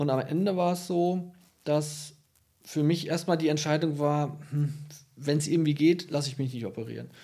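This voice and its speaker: With long, frequent pauses, a man speaks in a fairly high pitch, a dark, mellow tone and fairly even intonation. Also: moderate pace. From Münsterland, northwestern Germany. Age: 30s. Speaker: senior physician, diabetologist. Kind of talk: casual interview. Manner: hesitant with fillers. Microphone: poorly set microphone, hard to understand.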